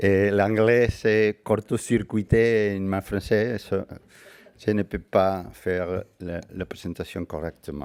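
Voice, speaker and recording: Recorded very cleanly against a silent background, a man with a fairly low pitch speaks at a very slow pace with fairly even intonation and a dry, close sound with no echo. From Spain. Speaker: physician and conference speaker. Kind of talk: conference talk. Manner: halting.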